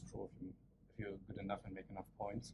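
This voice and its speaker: Someone speaks with a German accent and vocal fry. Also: man. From East Germany. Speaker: tech speaker, developer advocate and researcher. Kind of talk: tech talk. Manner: hesitant, many fillers.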